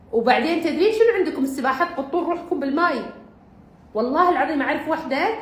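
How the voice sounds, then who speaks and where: A woman talks at a fairly quick pace with a Bahraini accent, her pitch extremely high. Noticeable background noise runs under her voice. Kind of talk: humorous talk about exercise.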